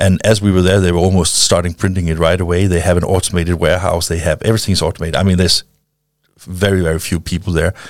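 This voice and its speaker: In a very clean recording with a silent background, a speaker with a Danish accent races along at a very fast pace, keeping flat, monotone intonation and very even loudness. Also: man, very deep, low pitch for a man. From Denmark. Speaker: founder of a printing-industry film channel. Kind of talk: interview. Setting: studio.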